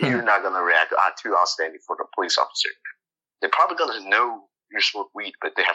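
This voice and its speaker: A man speaks with a Chinese accent. His pace is very fast. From China. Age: young. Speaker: college student. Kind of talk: casual chat.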